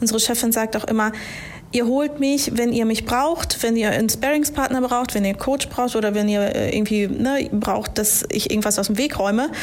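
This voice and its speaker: A woman's fairly high voice at a moderate pace, ordinary pitch variation and very even loudness, with audible room echo and noticeable background noise. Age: 30s. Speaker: HR manager. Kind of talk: casual interview. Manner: hesitant, many fillers.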